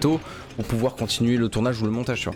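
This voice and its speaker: A man is speaking. Music plays in the background. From southwest France. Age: 20s. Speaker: gaming YouTuber. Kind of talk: casual let's play commentary.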